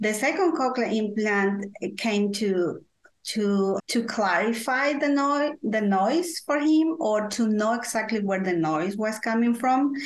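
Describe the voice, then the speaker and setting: With a Spanish accent, a woman speaks in a fairly high voice at a fairly slow pace, her intonation lively and her loudness very even. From Guatemala. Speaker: parent consultant, advocate for deaf children's families. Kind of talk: interview, personal storytelling. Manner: halting, hesitant with fillers.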